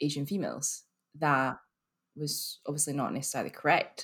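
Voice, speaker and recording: A woman with a Scottish accent speaks at a fairly quick pace. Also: very clean recording, silent background. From Scotland, Glasgow. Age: 30s. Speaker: marketing professional. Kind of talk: casual chat. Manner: animated.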